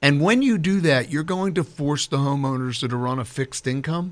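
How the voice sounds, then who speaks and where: In a plain, everyday voice, a man with fairly high pitch speaks at a moderate pace with lively intonation, on a very clean recording with a silent background. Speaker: political candidate. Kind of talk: radio interview. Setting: studio.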